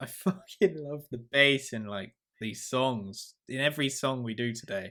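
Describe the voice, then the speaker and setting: In a southern English accent, a man talks at a moderate pace with medium pitch and ordinary pitch variation, recorded very cleanly against a silent background. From southern England. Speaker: band member podcast host. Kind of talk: casual chat. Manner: animated.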